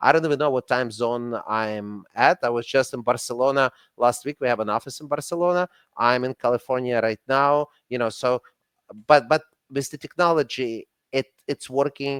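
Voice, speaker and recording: A man with a Russian accent and a medium pitch talks at a moderate pace with fairly even intonation, recorded with a dry, close sound and no echo. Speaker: company CEO and franchise consultant. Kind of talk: casual chat.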